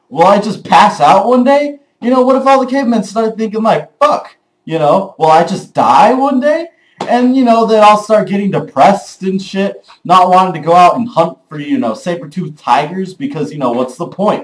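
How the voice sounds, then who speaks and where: Loud and animated, a man speaks at a moderate pace with a high pitch. His pitch swings very widely. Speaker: vlogger. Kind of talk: casual vlog monologue. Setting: early morning home recording.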